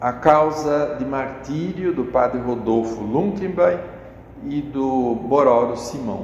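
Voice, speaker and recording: A man at a very slow pace, medium pitch and lively intonation, with audible room echo. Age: 70s. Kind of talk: interview. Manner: halting, with repetitions.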